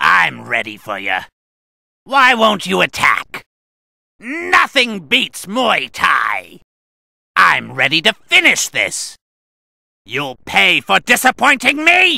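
Someone uses a put-on character voice at a very slow pace, with long, frequent pauses. The sound is dry and close, with no echo. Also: man. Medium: dub. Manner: cocky, shouted battle cries.

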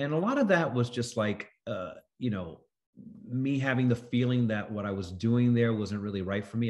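Speech with an American accent, ordinary pitch variation and a quiet background. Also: man. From New York City. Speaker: actor. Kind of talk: interview. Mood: thoughtful, warm. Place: home room. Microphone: video call.

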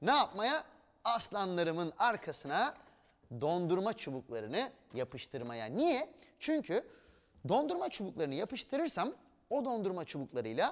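A man speaks at a moderate pace with very wide pitch swings. The background is quiet. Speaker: TV presenter. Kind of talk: tutorial. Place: studio.

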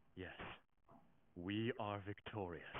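A man uses a put-on character voice. His pitch sits fairly low. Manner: dramatic, proclaiming.

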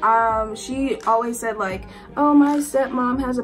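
A woman speaks with clear music in the background. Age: young. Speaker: college student. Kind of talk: casual storytime talk to camera. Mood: exasperated, animated storytelling. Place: home room. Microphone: phone near.

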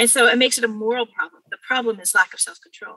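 A woman's high-pitched voice with a Californian accent, fairly quick pace, and a dry, close sound with no echo. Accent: Californian American English. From California, Bakersfield. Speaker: mediator and former philosophy teacher. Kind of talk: interview conversation.

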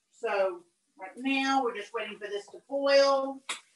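The voice comes with an American accent, audible room echo and light background noise. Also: woman. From southern United States. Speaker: cooking instructor. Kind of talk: live cooking demonstration. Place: kitchen. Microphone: video call.

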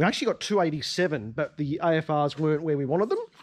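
A man's intonation is lively as he talks at a moderate pace. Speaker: car enthusiast channel host. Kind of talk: casual vlog chat. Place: garage. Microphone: phone near.

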